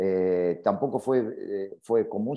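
The speaker is a man. Very wide swings run through his pitch. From Argentina. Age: 50s. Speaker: football coach. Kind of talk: interview. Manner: halting, many fillers and repetitions.

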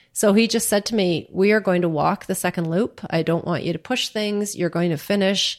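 With a Canadian accent and an ordinary speaking voice, a woman speaks at a moderate pace and fairly even intonation on a very clean recording with a silent background. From Canada (Churchill, Manitoba). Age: 50s. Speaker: cancer survivor and Ironman athlete. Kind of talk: interview, personal story. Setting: at her home.

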